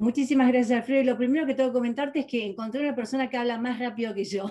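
A woman speaks very fast in a high pitch. Her intonation stays fairly even against a quiet background. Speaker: metaphysics teacher and therapist; metaphysics teacher. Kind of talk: interview. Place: home room. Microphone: webcam.

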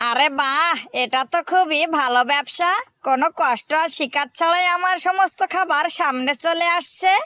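Someone does a put-on character voice at an extremely high pitch, talking at a moderate pace. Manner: lively, hawker's calling.

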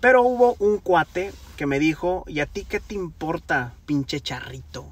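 The sound is dry, with no echo. A man talks at a fairly slow pace. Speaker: singer vlogger. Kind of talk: casual vlog chat. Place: car. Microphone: phone near.

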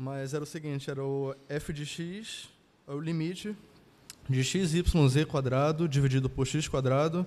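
Fairly high in pitch, a man speaks in a normal speaking voice. His pace is fairly slow and his intonation fairly even. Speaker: engineering student. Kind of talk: classroom question. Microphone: handheld.

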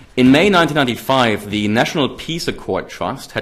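A man with a German accent talks at a medium pitch, his intonation lively. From Germany. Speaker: political scientist. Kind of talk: lecture. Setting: stage with audience. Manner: formal. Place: hall. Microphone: podium.

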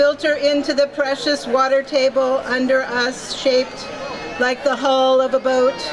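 A woman's high voice holds a monotone, flat intonation and very even loudness at a moderate pace, with crowd noise in the background. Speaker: emcee and poem reader. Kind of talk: poem reading at rally. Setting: outdoor rally stage. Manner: solemn, dramatic, measured. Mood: earnest, warning tone. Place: street. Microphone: podium.

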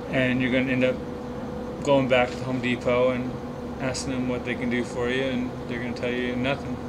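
A man talks at a fairly quick pace over loud background noise. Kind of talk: casual tutorial. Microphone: camera far.

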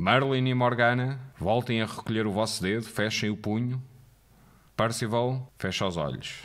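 A man at medium pitch with a European Portuguese accent, at a fairly slow pace. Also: fairly even intonation. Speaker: game moderator narrator. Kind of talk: guided narration, scripted game moderator instructions read aloud.

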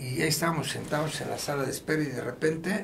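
Noticeable background noise under a man's fairly high voice, moving at a fairly quick pace. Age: 70s. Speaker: international rescue worker; guest. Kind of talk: casual interview storytelling; interview answer, storytelling. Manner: animated, profanity-laced. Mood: relaxed, reflective storytelling. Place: studio.

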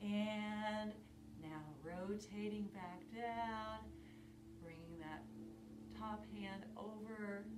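A woman's very slow speech with long, frequent pauses, over noticeable background noise. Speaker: fitness instructor. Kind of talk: guided yoga class with calm step-by-step cues. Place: home room. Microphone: camera far.

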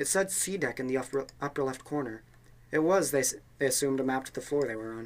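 Lively intonation over a natural reading voice

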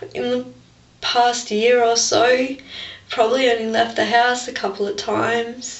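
Audible room echo surrounds a woman with an Australian accent who speaks at a fairly slow pace with a fairly high pitch and fairly even intonation. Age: 20s. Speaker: vlogger with a skin-picking disorder; personal vlogger. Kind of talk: personal testimony vlog. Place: bathroom. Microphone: webcam.

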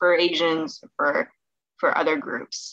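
A woman with a fairly low pitch and a bright, sharp tone speaks at a very slow pace with very wide pitch swings, in a dry sound with no echo and a quiet background. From Southern California. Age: 20s. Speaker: medical student; presenter. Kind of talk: presentation. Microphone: webcam.

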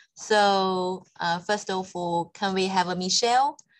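Over a quiet background, a woman talks with fairly even intonation. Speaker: education organization manager; webinar moderator. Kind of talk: webinar moderation. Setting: video call. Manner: hesitant, many fillers.

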